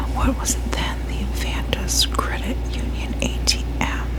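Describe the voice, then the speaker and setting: A soft-spoken woman whispers at a very slow pace. Noticeable background noise sits behind her. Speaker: ASMR creator. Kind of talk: whispered true crime ASMR narration. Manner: whispered, soft.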